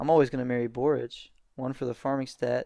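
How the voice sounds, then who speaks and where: A man talks at a medium pitch with monotone, flat intonation. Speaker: gaming youtuber. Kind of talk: gameplay commentary. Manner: fast; halting.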